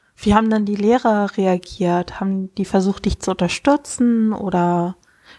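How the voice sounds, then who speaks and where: A woman's medium-pitched voice at a fairly slow pace, fairly even in intonation, in a dry, close sound with no echo. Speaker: podcast co-host. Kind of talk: casual chat. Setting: remote call.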